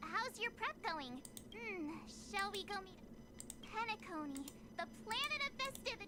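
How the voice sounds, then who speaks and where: At a moderate pace, a put-on character voice speaks at an extremely high pitch with long, frequent pauses over loud background noise. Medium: video game. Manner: lively, chatty.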